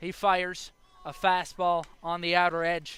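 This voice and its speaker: An American-accented man speaks in a high pitch with a bright, sharp tone. His delivery is very slow and monotone, with flat intonation. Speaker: baseball play-by-play announcer. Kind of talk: sports play-by-play broadcast. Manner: steady, measured, descriptive.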